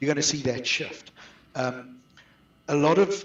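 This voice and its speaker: A man with a South African accent and a fairly high-pitched voice. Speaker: outsourcing business owner. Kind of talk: webinar interview.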